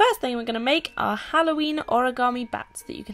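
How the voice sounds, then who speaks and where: There is noticeable background noise behind a woman speaking in a high pitch. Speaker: YouTuber, singer-songwriter. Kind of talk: DIY tutorial talk to camera. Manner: upbeat, casual.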